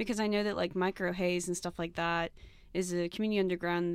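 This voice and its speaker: With music in the background, a woman talks at a fairly quick pace in a fairly low pitch, her intonation fairly even. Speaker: co-host. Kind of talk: casual interview questions.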